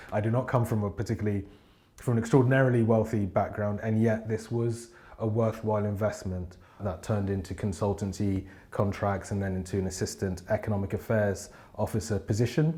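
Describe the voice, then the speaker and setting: A man with a London accent talks at a fairly quick pace, his pitch fairly low and his tone dark and mellow. The voice is somewhat breathy, with fairly even intonation. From England, South London. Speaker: business consultant. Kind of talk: interview monologue.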